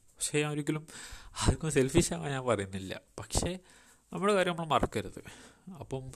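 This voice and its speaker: This man's voice sits at a fairly high pitch. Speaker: podcaster, storyteller. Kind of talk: storytelling monologue. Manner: halting. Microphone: poor mic quality.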